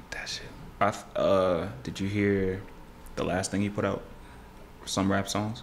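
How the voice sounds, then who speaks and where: A man with an American accent talks fairly slowly at a fairly low pitch, in a monotone, flat delivery. Long, frequent pauses break up his speech over light background noise. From Houston area, Texas; Texas. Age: 20s. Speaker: rapper. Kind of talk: casual interview chat. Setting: studio. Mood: relaxed, candid. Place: studio. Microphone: studio mic.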